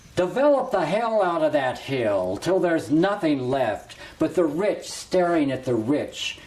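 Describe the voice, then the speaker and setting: A man speaks at a very slow pace with very wide pitch swings over noticeable background noise. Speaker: poet. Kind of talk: poetry reading. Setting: greenhouse.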